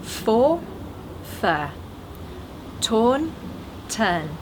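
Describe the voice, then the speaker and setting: A woman speaks with very wide pitch swings, over noticeable background noise and audible room echo. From northern England, Sheffield. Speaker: English teacher. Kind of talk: tutorial. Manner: clear, careful articulation.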